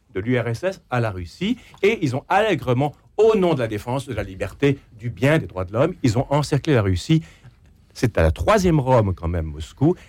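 At a moderate pace, a man with a medium-pitched voice and vocal fry swings very widely in pitch. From Quebec, Canada. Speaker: essayist and radio journalist. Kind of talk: radio panel debate.

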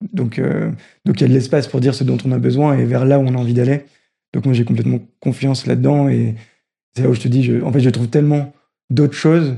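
A man at a very fast pace, with long, frequent pauses. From northern France, Roubaix. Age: 20s. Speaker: social enterprise program manager. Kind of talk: interview.

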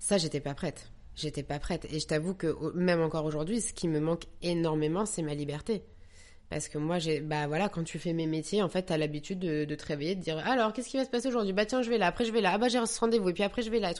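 This is delivered at a very fast pace against a quiet background. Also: woman, fairly low pitch for a woman, lively intonation. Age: 30s. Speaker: actress and young mother. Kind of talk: personal testimony. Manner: hesitant, many repetitions.

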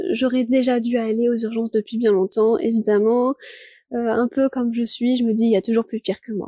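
A woman's fairly high, dark and mellow voice, fairly even in intonation, in a dry, close sound with no echo. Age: 20s. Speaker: student living with chronic illness. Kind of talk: personal testimony.

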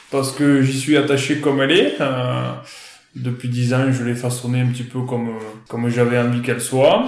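A man's fairly even intonation comes through amid noticeable background noise and audible room echo. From France, northern Aveyron. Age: 30s. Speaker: cattle farmer. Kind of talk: interview. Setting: outdoors. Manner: hesitant, many fillers.

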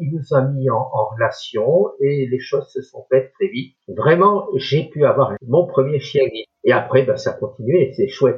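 This man talks at a fairly slow pace with hardly any pauses. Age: 60s. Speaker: retired blind guide dog user. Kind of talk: interview conversation.

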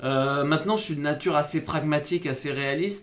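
Fairly even intonation marks this man's speech. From southwest France, Bordeaux. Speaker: rugby player. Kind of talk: interview conversation. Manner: hesitant, many fillers and repetitions.

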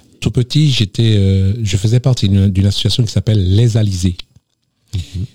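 A man's fairly low, somewhat breathy voice at a moderate pace, with ordinary pitch variation and a dry, close sound with no echo. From Martinique, south (Le Vauclin). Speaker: association president. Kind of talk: radio interview.

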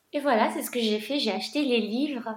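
Audible room echo carries a woman's high-pitched voice as she speaks with fairly even intonation. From Morocco, then France. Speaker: coach for gifted women. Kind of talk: casual interview.

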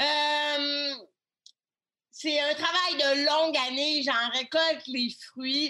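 A woman's raised, projected voice, high in pitch and very slow, with very even loudness, monotone, flat intonation and long, frequent pauses. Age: 30s. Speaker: web communication consultant and author. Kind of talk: interview.

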